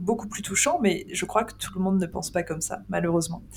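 A fairly low-pitched woman speaks. Noticeable noise sits in the background. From France, Île-de-France. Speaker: podcast host, ghost hunter. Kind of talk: casual chat.

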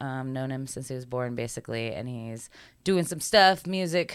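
On a very clean recording with a silent background, a woman speaks at a moderate pace, her pitch swinging very widely. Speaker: podcast host. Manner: calm, soft delivery.

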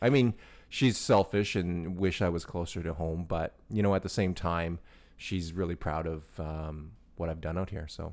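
Speaking at a moderate pace, a man uses a very deep, low pitch with fairly even intonation. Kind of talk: casual chat. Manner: relaxed.

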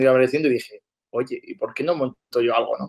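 Speaking at a very fast rate, this man's voice sits fairly high in pitch. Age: 20s. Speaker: entrepreneur. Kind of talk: casual interview.

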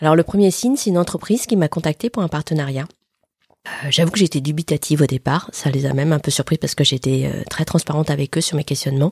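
The sound is dry and close with no echo. A woman with a very deep, low pitch talks at a very fast pace, somewhat breathy. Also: ordinary pitch variation. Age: 40s. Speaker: podcast host. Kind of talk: casual interview answers. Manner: hesitant.

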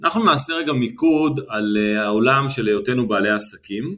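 With a bright, sharp tone, a man speaks at medium pitch and a moderate pace, varying his pitch in an ordinary way. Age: 50s. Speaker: business coach and retired army officer. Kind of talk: interview.

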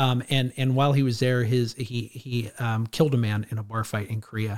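A man speaks at medium pitch with an American accent and monotone, flat intonation. The recording is very clean, with a silent background. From California, Clovis near Fresno. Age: 40s. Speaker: addiction counselor and trainer. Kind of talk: interview conversation.

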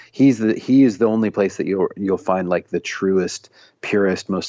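The speaker has an American accent and talks at a moderate pace. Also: man. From US Midwest, Illinois near Saint Louis, then Tennessee. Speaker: singer-songwriter and author. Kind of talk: casual interview.

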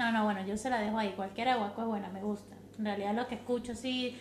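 In an Andean Venezuelan accent, a woman speaks at a very fast pace in a fairly high pitch with fairly even intonation, amid audible room echo and noticeable background noise. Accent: Andean Venezuelan (gocho). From Venezuelan Andes (San Cristóbal, Táchira). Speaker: mother, podcast guest. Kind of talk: casual chat. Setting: in-person recording with host.

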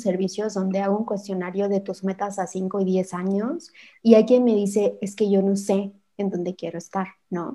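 A woman speaks with a dark, mellow tone at a medium pitch. Her pace is moderate and her intonation fairly even. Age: 30s. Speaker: podcast host. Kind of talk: interview.

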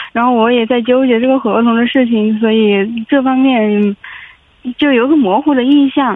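A woman talks at a moderate pace in a high voice with ordinary pitch variation. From Hubei, China. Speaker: caller, in-house legal adviser. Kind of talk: phone-in advice call. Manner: hesitant, many fillers.

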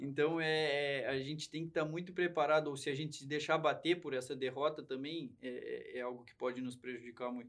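Hardly pausing at all, a man with an unremarkable speaking voice and a fairly high pitch speaks at a fairly quick pace with fairly even intonation and big swings in loudness. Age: 20s. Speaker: horse trainer and rider. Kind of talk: casual interview chat.

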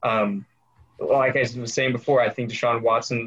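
Fairly even intonation and a moderate pace in an ordinary speaking voice. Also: man. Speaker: podcast host. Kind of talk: casual chat.

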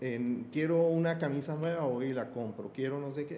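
A man speaks at a fairly high pitch with ordinary pitch variation. Noticeable background noise and audible room echo are present. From Colombia, Bogotá. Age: 50s. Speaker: Islamic affairs expert. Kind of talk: podcast interview.

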